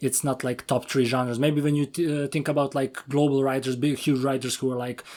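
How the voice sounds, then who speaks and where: Speaking in a Serbian accent at a fairly quick pace with hardly any pauses, a man holds a medium pitch and monotone, flat intonation on a very clean recording with a silent background. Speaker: podcast host. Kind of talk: interview.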